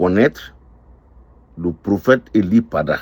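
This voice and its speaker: The intonation is lively. The tone is dark and mellow. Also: man. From Ivory Coast. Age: 60s. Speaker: restaurant owner. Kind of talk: testimony. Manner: slow.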